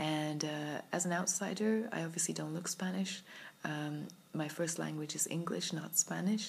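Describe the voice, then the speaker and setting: A woman with a British accent speaks at a moderate pace in a fairly low pitch, her intonation fairly even and touched with vocal fry. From UK. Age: 30s. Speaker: vlogger. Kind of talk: personal vlog monologue. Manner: reflective, hesitant with fillers.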